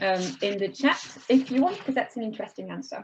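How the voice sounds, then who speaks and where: Speaking with a French accent, a woman uses a medium pitch with ordinary pitch variation. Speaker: webinar moderator, wine institute co-founder. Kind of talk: panel webinar moderation. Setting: online webinar.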